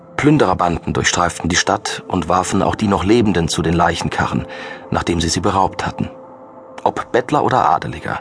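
Over noticeable background noise, a man with a very deep, low pitch talks at a fairly quick pace with lively intonation. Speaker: audiobook narrator. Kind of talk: dramatic audiobook narration of a thriller, read aloud from a script. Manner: grave, measured and ominous, building suspense with dark, vivid delivery.

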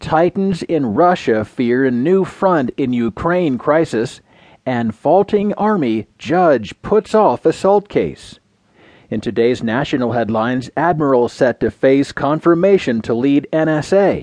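Over a quiet background, a man speaks fairly slowly in a plain, everyday voice with fairly high pitch and lively intonation, the sound dry and close with no echo. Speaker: audiobook news narrator. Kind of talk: scripted news reading of newspaper stories, headline rundown then full article. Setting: studio. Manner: measured, crisp broadcast delivery, even newsreader cadence; formal, neutral and detached, reading long complex sentences smoothly.

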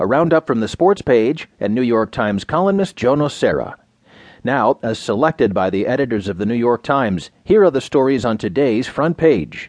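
Here a man talks in a plain, everyday voice at a moderate pace. His intonation is lively. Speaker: news narrator. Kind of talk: scripted news reading of newspaper stories. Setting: studio. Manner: measured, even and formal delivery; clear, crisp newsreader enunciation.

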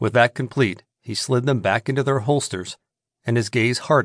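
A natural reading voice is heard, with the background kept quiet.

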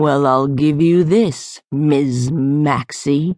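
A put-on character voice, raspy and hissing, at a low-to-middle pitch and a very slow pace. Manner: hissing, menacing.

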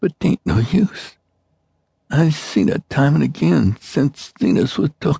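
A man's dark, mellow, fairly high voice with vocal fry, very wide pitch swings and a very slow pace, in a dry, close sound with no echo. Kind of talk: dramatic character voice reading a dying farmer's dialogue. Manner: rasping, halting, feeble, rural dialect, delirious.

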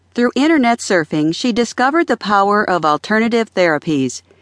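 A woman speaks in a calm tone with very wide pitch swings. The sound is dry and close with no echo, over a quiet background. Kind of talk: audiobook narration. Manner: calm, even, measured reading.

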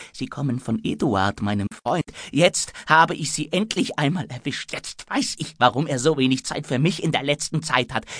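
A normal speaking voice from a man, fairly high in pitch, at a moderate pace with lively intonation, hardly any pauses and a dry, close sound with no echo. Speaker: audiobook narrator. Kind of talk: audiobook narration; dramatic reading of a tense scene. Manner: breathless, urgent, faltering in the fear scenes.

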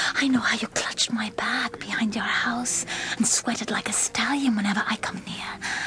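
A woman whispers in an intense, menacing tone at a moderate pace. Noticeable background noise runs underneath. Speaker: actor playing a young woman character. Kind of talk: dramatic narration, full-cast audio play. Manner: intense, defiant, menacing in threats, coldly insistent.

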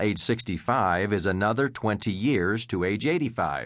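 An unremarkable speaking voice from a man, fairly low in pitch, with ordinary pitch variation against a quiet background. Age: 50s. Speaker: financial advisor and author. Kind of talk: audiobook narration.

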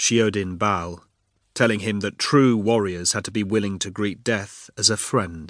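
Against a quiet background, a man uses a normal speaking voice, fairly low in pitch, with ordinary pitch variation at a moderate pace. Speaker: audiobook narrator. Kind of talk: dramatic thriller narration, reading aloud. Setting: studio. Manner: tense, urgent, building suspense.

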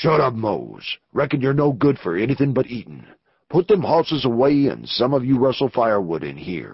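A gruff put-on character voice moves at a moderate pace with lively intonation. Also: man, medium pitch for a man. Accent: Western US. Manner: gruff, terse, wary.

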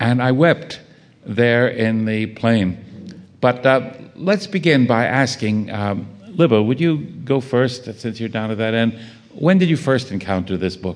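This man has a plain, everyday voice with a medium pitch. He speaks at a fairly slow pace with lively intonation. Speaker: panel moderator. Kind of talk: moderated literary panel discussion. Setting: stage with audience.

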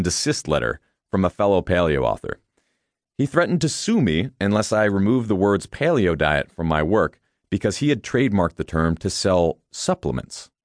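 Against a quiet background, a man with a very deep, low pitch speaks fairly quickly in a confident tone with lively intonation. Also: dry, close sound with no echo. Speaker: audiobook author-narrator. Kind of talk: infomercial-style sales pitch. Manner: punchy, persuasive, confident, direct address; animated, hard-selling, rhetorical questions.

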